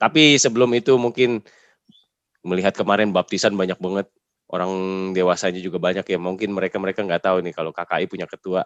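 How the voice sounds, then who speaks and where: A man's very deep, low voice at a very fast pace, ordinary pitch variation, dry, close sound with no echo and a quiet background. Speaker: podcast host. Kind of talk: interview. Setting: video call.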